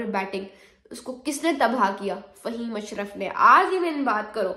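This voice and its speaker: With audible room echo, a woman speaks in an animated tone at a fairly slow pace and a fairly high pitch. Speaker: cricket commentator. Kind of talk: sports opinion vlog.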